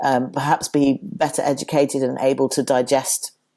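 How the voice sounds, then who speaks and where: At a moderate pace, this voice carries a dark, mellow tone. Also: man. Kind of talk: interview. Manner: halting, many restarts.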